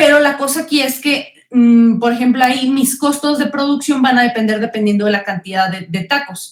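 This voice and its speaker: A high-pitched woman with a Mexican accent talks with hardly any pauses and ordinary pitch variation. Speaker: economics teacher. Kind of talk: online class lecture. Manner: fast.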